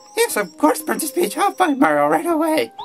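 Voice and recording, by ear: This put-on character voice is high in pitch and moves at a fairly quick pace. Clear music plays in the background.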